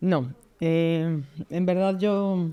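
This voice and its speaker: In a Mexican accent, a woman speaks with a dark, mellow tone at a fairly low pitch and ordinary pitch variation, on a very clean recording with a silent background. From Mexico City. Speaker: pro-life expert. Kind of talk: interview conversation.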